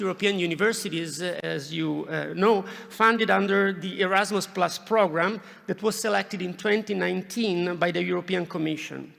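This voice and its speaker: Pitched high, a man talks at a moderate pace. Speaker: university professor. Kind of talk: formal welcome speech. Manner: halting, many fillers.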